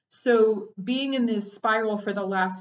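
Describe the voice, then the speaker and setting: Using an American accent, a woman speaks at a fairly slow pace with a fairly high pitch. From Texas. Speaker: therapist and podcast host. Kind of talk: personal reflective monologue. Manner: halting, with frequent fillers and restarts.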